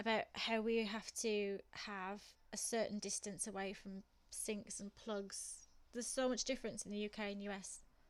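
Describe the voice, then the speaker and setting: A woman talks in a monotone with flat intonation. The recording is very clean, with a silent background. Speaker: streamer, gamer. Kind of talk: casual chat while gaming on a live stream. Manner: chatty, casual.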